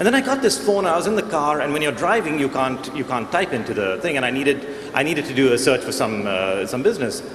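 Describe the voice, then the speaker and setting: With an American accent, a man speaks at a very fast pace in a fairly high pitch with lively intonation. Noticeable background noise and audible room echo fill the recording. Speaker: panelist on technology. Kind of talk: panel discussion.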